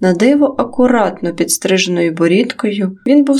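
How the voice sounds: Intonation rises and falls in a lively way throughout this natural reading voice.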